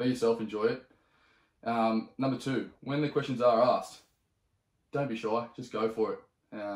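Speech moves at a moderate pace with long, frequent pauses, and audible room echo. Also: man, medium pitch for a man. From Sydney, Australia. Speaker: podcast host. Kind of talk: casual chat. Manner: animated. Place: home room.

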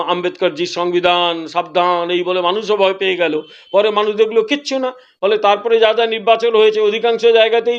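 This man's voice sits high for a man, with ordinary pitch variation. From West Bengal, Purba Medinipur near Odisha border. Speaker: politician. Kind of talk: political interview.

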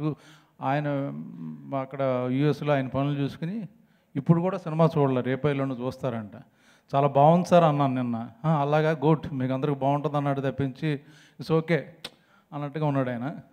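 Against a quiet background, a man speaks with a dark, mellow tone. His pitch is fairly high and his intonation fairly even. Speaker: film actor. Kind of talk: humorous speech at a film trailer launch event. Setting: stage microphone at press event. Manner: joking, playful. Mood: joking, light humorous. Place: stage. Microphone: handheld.

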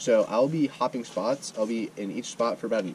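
Light background noise behind a man speaking. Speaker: angler vlogger. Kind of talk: casual vlog chat. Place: waterside. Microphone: camera far.

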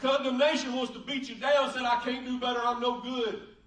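There is audible room echo. A man speaks in an extremely high pitch. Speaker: pastor. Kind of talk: sermon preached to a congregation. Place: church.

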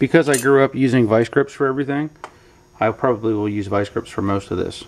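The man talks at an unhurried, medium tempo, and his pitch varies in an ordinary way. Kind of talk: tutorial. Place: garage.

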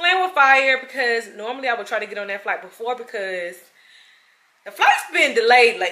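At a moderate pace, the voice moves through very wide pitch swings. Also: woman. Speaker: flight attendant vlogger. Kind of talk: casual vlog chat. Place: home room. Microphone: phone near.

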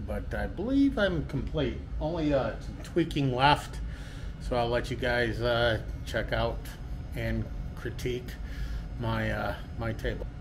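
Music plays behind a man who speaks at a fairly slow pace with long, frequent pauses. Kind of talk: casual workshop tour. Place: workshop. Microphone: phone near.

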